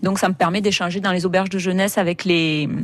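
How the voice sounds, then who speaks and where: A woman has an ordinary speaking voice at a medium pitch. She keeps a moderate pace and fairly even intonation. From southern France, Hérault (Béziers area). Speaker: travel blogger and photographer. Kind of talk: radio interview.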